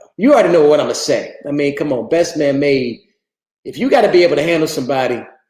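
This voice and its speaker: Pitch sits fairly high for this man, varying in an ordinary way. He speaks at a very fast pace. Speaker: livestream host, fitness enthusiast. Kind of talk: casual livestream chat. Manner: animated, conversational.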